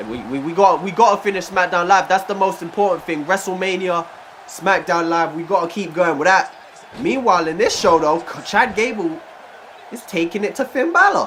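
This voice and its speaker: Noticeable background noise sits behind a man talking at a fairly quick pace, his high pitch showing ordinary variation. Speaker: gaming YouTuber. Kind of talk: game commentary. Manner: casual, hesitant.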